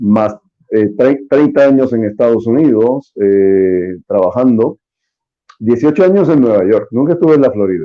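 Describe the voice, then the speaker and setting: Fairly slow, lively intonation from a man at medium pitch. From Puerto Rico, San Juan. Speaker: spokesman of a political association. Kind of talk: interview.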